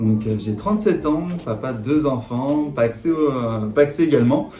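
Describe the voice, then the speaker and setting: Audible room echo and noticeable background noise accompany a fairly slow delivery. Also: man. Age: 30s. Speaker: insurance agent. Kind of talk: interview monologue. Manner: halting, many fillers.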